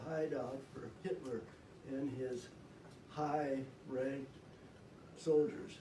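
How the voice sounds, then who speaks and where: Using fairly even intonation, a man speaks at a very slow pace amid noticeable background noise. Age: 80s+. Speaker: World War II veteran. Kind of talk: storytelling to a school class.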